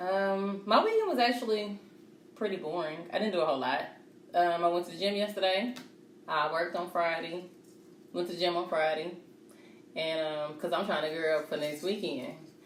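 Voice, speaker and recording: Fairly quick speech from a woman at a fairly low pitch, with ordinary pitch variation, long, frequent pauses, and audible room echo. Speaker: podcast co-host. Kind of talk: casual chat. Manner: loud, voice carries.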